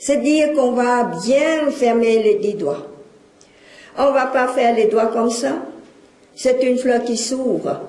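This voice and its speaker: Speech comes at a very slow pace, broken by long, frequent pauses, with ordinary pitch variation. Noticeable background noise and audible room echo are present. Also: woman, high pitch for a woman. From Cambodia. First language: Khmer (speaking French). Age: 60s. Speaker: lecturer and witness of exile. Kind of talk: public lecture.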